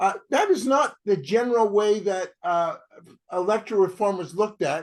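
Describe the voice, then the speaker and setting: Pitched high for a man, he speaks with a Canadian accent at a moderate pace. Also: ordinary pitch variation. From Canada. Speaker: campaign group co-founder and event moderator. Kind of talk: online panel introduction. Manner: halting, many fillers.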